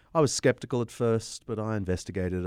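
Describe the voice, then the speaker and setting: On a very clean recording with a silent background, a man with an Australian accent speaks with ordinary pitch variation. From Australia, Sydney. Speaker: historian and apologist. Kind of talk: interview.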